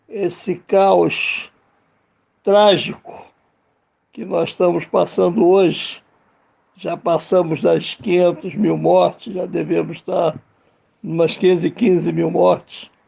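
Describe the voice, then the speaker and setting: A man talks at a very slow pace, with long pauses that come often. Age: 70s. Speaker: filmmaker. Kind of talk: radio interview.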